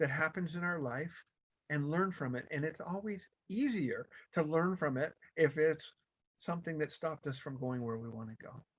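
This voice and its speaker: Lively intonation and a fairly high pitch from a man with an unremarkable speaking voice, at a moderate pace. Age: 60s. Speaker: motivational speaker. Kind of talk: motivational talk. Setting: video call.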